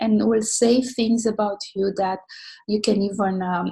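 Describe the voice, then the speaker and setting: A woman with a non-native accent has a dark, mellow, somewhat breathy tone and ordinary pitch variation. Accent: noticeable foreign. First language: not English. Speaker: social media mentor. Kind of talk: online mentoring talk. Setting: online session. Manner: hesitant, many fillers.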